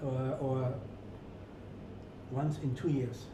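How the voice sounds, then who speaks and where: A man speaks at a very slow pace. The room echo is audible, and there is noticeable background noise. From rural Germany. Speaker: hotel executive. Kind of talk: interview. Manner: halting.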